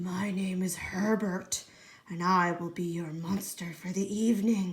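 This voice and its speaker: A woman puts on a breathy character voice at medium pitch. She speaks fairly slowly in a flat monotone. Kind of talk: formal, polite.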